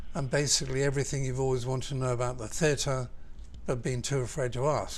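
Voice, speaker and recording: The speaker has a Southern English accent and talks at a very fast pace in a somewhat breathy voice with monotone, flat intonation. Audible room echo surrounds the voice. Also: man, medium pitch for a man. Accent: Southern English, little changed. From southern England. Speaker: architect. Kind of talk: interview. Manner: hesitant, with ums and restarts.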